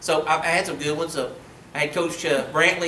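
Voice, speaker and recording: A man with an Ozark accent speaks at a fairly high pitch and a fairly quick pace. Audible room echo and noticeable background noise fill the recording. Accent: southern US (Arkansas Ozarks). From Arkansas, Mountain Home. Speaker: high school history teacher. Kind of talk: public lecture. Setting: meeting room with audience. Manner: casual, conversational.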